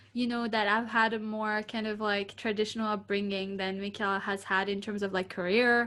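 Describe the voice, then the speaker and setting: A woman's medium-pitched, bright, sharp voice with a non-native accent, fairly quick and monotone, with hardly any pauses. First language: not English. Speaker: podcast co-host. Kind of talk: casual chat.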